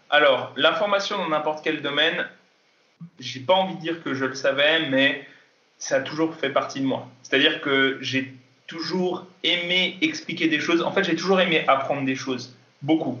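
A man speaks at a fairly high pitch with fairly even intonation. Room echo is audible. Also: moderate pace. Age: 20s. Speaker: kendo athlete and fitness coach. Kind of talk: interview. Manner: hesitant, many fillers.

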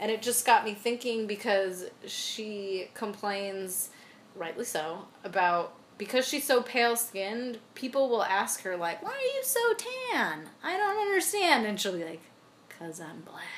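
A woman's fairly high voice, fairly slow, with lively intonation, big swings in loudness and noticeable background noise. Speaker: podcast co-host. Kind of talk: casual chat. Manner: animated, joking.

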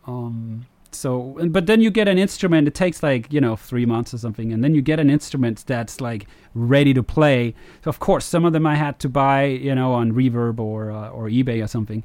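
A man's medium-pitched voice at a fairly quick pace, ordinary pitch variation, on a very clean recording with a silent background. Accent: Danish. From Denmark. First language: Danish. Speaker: video game composer. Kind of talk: interview.

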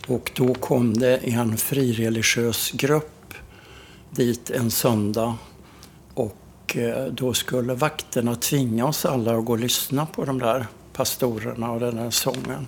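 A man at a medium pitch, very slow pace and fairly even intonation. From Sweden, Karlstad (Värmland). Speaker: travel journalist. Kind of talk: interview.

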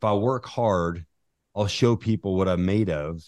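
An ordinary speaking voice from a man with an American accent, fairly low in pitch with ordinary pitch variation, at a fairly slow pace against a quiet background. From Utah. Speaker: business leader and investor. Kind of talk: interview conversation.

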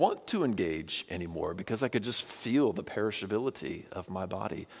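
Moderate pace, very wide pitch swings and vocal fry in a very clean recording with a silent background. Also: man. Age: 40s. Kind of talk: sermon.

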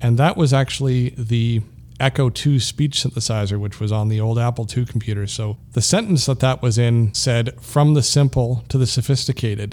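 Talking at a moderate pace with hardly any pauses, a man has an unremarkable speaking voice, medium pitch and fairly even intonation. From Canada. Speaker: podcast host, assistive technology specialist. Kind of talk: casual tech podcast chat.

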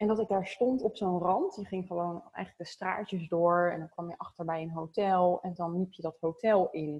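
Somewhat breathy and at a medium pitch, a woman talks at a moderate pace with fairly even intonation and hardly any pauses. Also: big swings in loudness. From Zoetermeer, near The Hague, Netherlands. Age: 30s. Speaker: marketing consultant. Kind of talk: casual interview.

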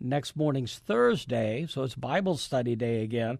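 A man with an American accent and a plain, everyday voice, speaking at a fairly slow pace with ordinary pitch variation against a quiet background. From Iowa, US Midwest. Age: 60s. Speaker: pastor and former radio interviewer. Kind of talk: casual interview. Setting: studio.

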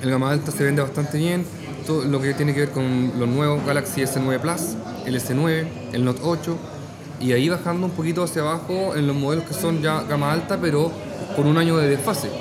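A man speaks at a fairly high pitch and fairly quick pace, with fairly even intonation and very even loudness. Audible room echo and noticeable background noise are present. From Chile, Talca. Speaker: phone shop owner. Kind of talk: casual interview over drinks. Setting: bar.

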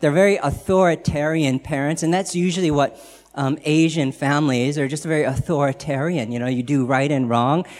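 Fairly quick in pace, a man uses a plain, everyday voice with a fairly high pitch and ordinary pitch variation. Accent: American. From United States. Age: 40s. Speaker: guest speaker sharing his faith story. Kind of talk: testimony. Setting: church gathering with audience.

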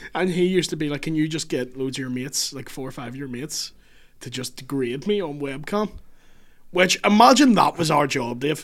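A man with a Northern Irish accent speaks fairly quickly at a fairly high pitch, his loudness swinging widely. The recording is very clean, with a silent background. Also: ordinary pitch variation. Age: 30s. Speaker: comedian. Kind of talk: casual chat.

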